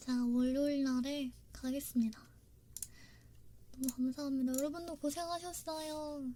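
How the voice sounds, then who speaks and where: A woman with a high pitch and a dark, mellow tone speaks at a moderate pace with fairly even intonation and long, frequent pauses. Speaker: ASMR streamer. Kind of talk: live stream chat with viewers.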